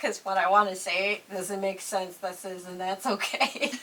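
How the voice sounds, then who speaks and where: A woman with a New York accent speaks at a medium pitch against noticeable background noise. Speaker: YouTuber interviewing a makeup artist. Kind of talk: casual chat.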